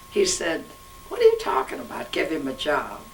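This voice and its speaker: A woman's voice amid noticeable background noise. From Ukraine, raised in Kansas City, Missouri. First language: Russian. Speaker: interviewee, garment company co-founder's widow. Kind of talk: oral history interview. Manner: halting.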